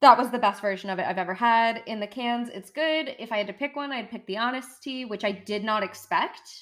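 With an American accent, a woman speaks at a fairly quick pace with hardly any pauses, a fairly high pitch, ordinary pitch variation and a normal speaking voice. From United States. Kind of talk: casual chat.

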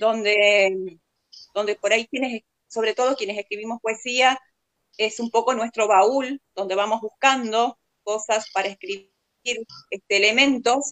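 A woman speaks at a fairly slow pace in a normal speaking voice, fairly high in pitch with fairly even intonation, the sound dry and close with no echo. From Argentina, Paraná, Entre Ríos. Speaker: poet. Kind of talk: literary talk.

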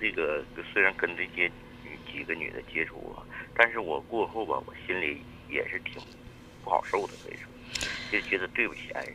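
A man's moderately paced speech carries through noticeable background noise. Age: 40s. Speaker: radio call-in caller. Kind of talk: personal confession on radio call-in. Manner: halting, many fillers.

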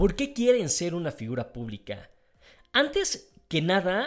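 A man with high pitch and an animated tone, fairly slow pace and very wide pitch swings, on a very clean recording with a silent background. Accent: Mexican. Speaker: podcast host. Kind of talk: casual monologue.

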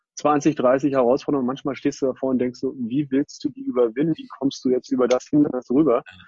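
A man with a normal speaking voice talks at a fairly quick pace in a fairly high pitch. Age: 40s. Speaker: company co-founder. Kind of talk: interview. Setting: online video recording.

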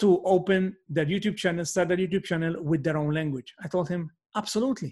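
A man in a Maltese accent speaks at a high pitch with ordinary pitch variation. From Malta. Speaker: podcast host, network marketer. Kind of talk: solo podcast monologue. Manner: halting, many fillers.

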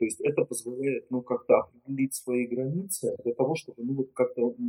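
A man's voice comes across in a dry, close sound with no echo. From Russia, Murmansk. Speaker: psychologist, gestalt therapist. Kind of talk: interview. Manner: halting.

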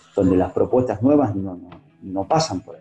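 A man with a Rioplatense accent, at a moderate pace. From Buenos Aires suburbs, Argentina. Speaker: radio journalist. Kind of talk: interview.

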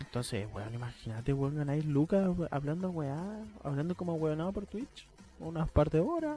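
Lively intonation runs throughout. The speaker has a Chilean accent. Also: man, fairly high pitch for a man, moderate pace. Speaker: psychology student. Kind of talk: casual chat.

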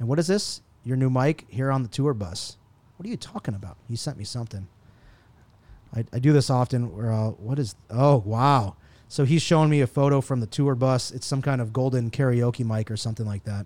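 A man speaks at a fairly quick pace in an unremarkable speaking voice. His pitch sits in the medium range with ordinary variation. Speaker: tech podcast host. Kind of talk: casual chat. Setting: office boardroom. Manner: casual, profane.

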